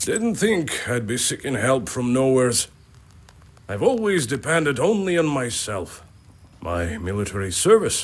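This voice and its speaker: Using a put-on character voice, a man speaks at a moderate pace in a medium pitch with very wide pitch swings. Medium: video game. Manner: plain-spoken, earnest.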